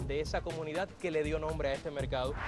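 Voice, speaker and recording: Fairly quick speech with music in the background. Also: man. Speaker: journalist, TV host. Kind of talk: TV documentary host, conversational interview.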